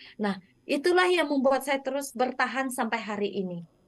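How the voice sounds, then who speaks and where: With ordinary pitch variation and a high pitch, a woman speaks at a moderate pace in a dry recording with no echo and a quiet background. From Indonesia, West Kalimantan (Dayak). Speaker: textile business founder; guest. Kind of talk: interview. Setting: remote connection. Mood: warm, enthusiastic. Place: home room. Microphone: video call.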